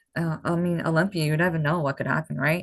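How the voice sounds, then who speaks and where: Against a quiet background, a woman talks at a fairly low pitch. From Massachusetts, near Boston, Portuguese background. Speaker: bodybuilding competitor. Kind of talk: podcast interview.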